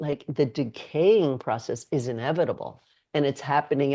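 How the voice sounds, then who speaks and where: Someone speaks at a moderate pace with an American accent. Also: woman. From New York City. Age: 60s. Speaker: somatic movement educator. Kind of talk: podcast interview.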